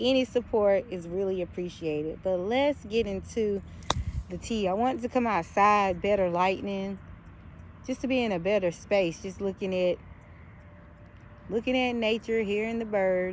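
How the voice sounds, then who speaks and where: Long pauses come often in this moderately paced speech. The voice has a slight Southern US accent and ordinary pitch variation. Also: woman, medium pitch for a woman. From US South. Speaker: YouTuber. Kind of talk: casual vlog commentary. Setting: outdoors in backyard. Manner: halting, many fillers.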